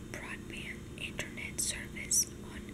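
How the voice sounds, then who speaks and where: The pace is very slow. Loud background noise runs underneath. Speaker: ASMR content creator reading news aloud. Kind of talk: ASMR whisper reading of a newspaper with page flipping and tapping.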